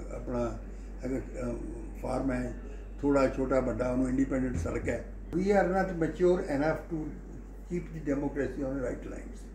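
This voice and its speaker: A man talks over light background noise, and audible echo fills the room. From Punjab, Lyallpur region (now Pakistan). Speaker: agricultural economist. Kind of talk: interview answer. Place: home room. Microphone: phone near.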